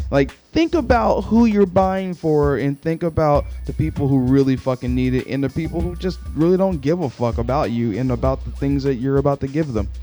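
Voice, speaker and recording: Music can be heard in the background. Over it, a man talks at a fairly quick pace. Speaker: podcaster. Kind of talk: casual podcast talk. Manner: frustrated ranting, profane.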